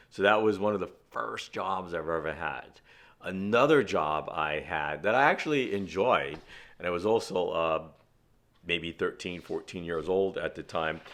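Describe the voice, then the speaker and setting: A man with a New York accent, very deep and low in pitch, with lively intonation, on a very clean recording with a silent background. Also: moderate pace. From Brooklyn, New York City. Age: 60s. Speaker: outdoor and fishing vlogger. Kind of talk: personal monologue. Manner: casual, with fillers.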